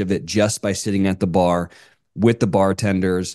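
This man speaks at a fairly low pitch with a dark, mellow tone and an American accent. His pace is moderate, and the background is quiet. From US South. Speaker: podcast host. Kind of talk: casual chat.

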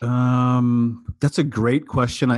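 A man at a medium pitch with a US Midwestern accent. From US Midwest, small-town Iowa. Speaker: diversity and inclusion speaker and consultant. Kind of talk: interview conversation. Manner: halting, many fillers and repeats.

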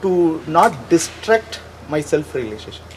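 Noticeable background noise beneath a moderate pace and lively intonation. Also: man. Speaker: audience member asking question. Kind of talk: question to teacher.

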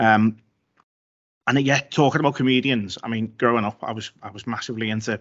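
With a Liverpool accent, a man speaks at a fairly quick pace and a fairly low pitch, keeping his intonation fairly even. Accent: Liverpool (Scouse). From Liverpool, England. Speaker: copywriter and newsletter writer. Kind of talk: casual interview chat.

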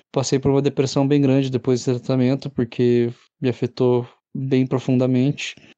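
Recorded with a dry, close sound and no echo, a man speaks at medium pitch and a moderate pace in a dark, mellow tone. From Curitiba, Brazil. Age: 20s. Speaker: cancer survivor. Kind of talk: testimony.

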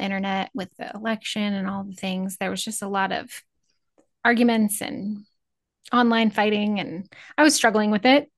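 A woman with medium pitch speaks at a moderate pace with fairly even intonation against a quiet background. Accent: Midwestern American. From Northeast Nebraska. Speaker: cattle rancher and podcaster. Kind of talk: casual chat.

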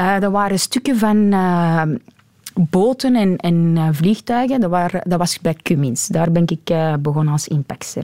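A woman with a fairly low pitch and a dark, mellow tone speaks at a fairly slow pace with lively intonation and very even loudness, in a dry, close sound with no echo. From Antwerp, Belgium (Deurne). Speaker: forklift driver. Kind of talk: interview. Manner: halting.

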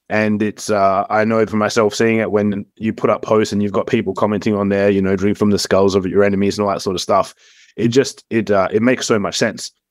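A man with an Australian accent speaks fairly quickly in a fairly low, monotone, flat voice, recorded very cleanly with a silent background. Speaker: podcast host. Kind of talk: casual interview chat.

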